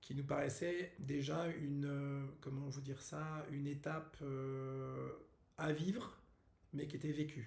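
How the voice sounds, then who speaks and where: A man speaks very slowly in a monotone, flat intonation at a fairly high pitch, somewhat breathy. Audible room echo surrounds his voice. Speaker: wellness workshop host. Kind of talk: casual video announcement. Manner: halting, many fillers.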